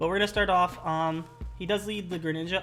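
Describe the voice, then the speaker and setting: Over music in the background, a woman with a fairly low voice talks very fast with ordinary pitch variation. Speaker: gaming league video host. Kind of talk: casual commentary chat.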